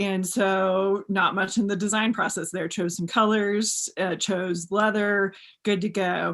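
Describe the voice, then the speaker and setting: A woman with an American accent speaks at a fairly slow pace, her medium-pitched voice monotone and flat. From Texas. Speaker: custom cowboy boot maker. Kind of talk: interview conversation. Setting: video call.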